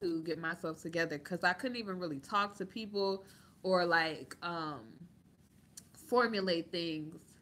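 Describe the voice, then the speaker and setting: A loud woman's voice, fairly low in pitch, bright and sharp in tone, with fairly even intonation. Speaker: YouTube commentator. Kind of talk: livestream chat.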